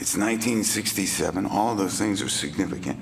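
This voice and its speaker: The man has a fairly low pitch and speaks at a moderate pace. Audible room echo and noticeable background noise surround him. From Texas, Beaumont. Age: 60s. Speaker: recovering alcoholic speaker. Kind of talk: testimony. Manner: animated, halting with fillers.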